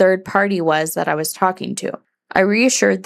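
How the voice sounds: Against a quiet background, a natural reading voice, pitch varying in an ordinary way.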